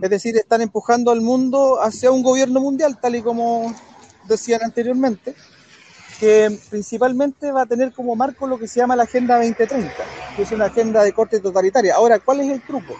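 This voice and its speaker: A man's extremely high pitch, fairly even intonation and fairly quick pace amid noticeable background noise. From Chile. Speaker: political commentator. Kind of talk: debate.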